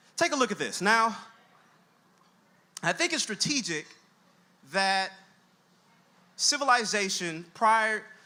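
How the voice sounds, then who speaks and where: A man with a high voice for a man projects it loudly, his tone bright and sharp, with long, frequent pauses. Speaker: college dean and education scholar giving a talk. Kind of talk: lecture-style talk with slides. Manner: fast.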